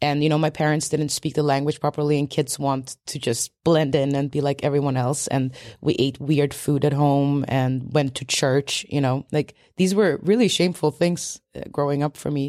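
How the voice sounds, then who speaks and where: Hardly pausing, a woman speaks at a moderate pace with a very deep, low pitch, a dark, mellow tone and fairly even intonation, the sound dry and close with no echo. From Sweden, Polish immigrant family. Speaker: documentary film director. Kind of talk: interview. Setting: public library with children in background.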